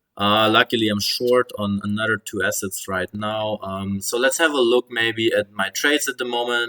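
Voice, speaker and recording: A man with an ordinary speaking voice talks at a moderate pace and a medium pitch, with fairly even intonation and hardly any pauses, in a dry, close sound with no echo. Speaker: crypto and markets commentator. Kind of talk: casual market update monologue.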